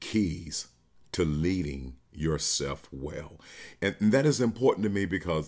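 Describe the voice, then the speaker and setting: This is a man speaking. His voice has vocal fry. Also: very clean recording, silent background. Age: 50s. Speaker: podcast host and leadership speaker. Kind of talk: solo motivational talk. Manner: halting, many fillers and repetitions.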